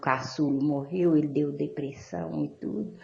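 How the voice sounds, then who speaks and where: In a room with audible echo, a woman speaks. Her tone is dark and mellow, and her pace fairly slow. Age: 60s. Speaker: caller. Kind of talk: call-in question. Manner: halting.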